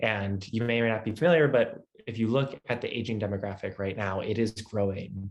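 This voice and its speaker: A man speaks in a fairly low pitch. His pitch variation is ordinary. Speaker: tech startup founder and CEO. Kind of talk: webinar presentation. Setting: video webinar. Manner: fast.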